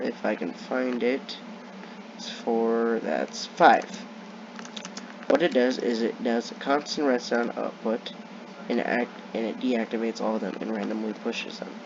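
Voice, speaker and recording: Long, frequent pauses break up the fairly slow speech, and noticeable background noise sits underneath. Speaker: gaming youtuber. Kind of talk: gameplay commentary.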